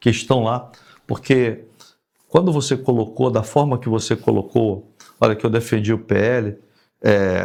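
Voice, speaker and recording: The speech moves at a fairly slow pace with long, frequent pauses. Intonation is fairly even, and the recording is very clean against a silent background. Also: man, medium pitch for a man. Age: 60s. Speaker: retired army colonel and politician. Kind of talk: podcast interview.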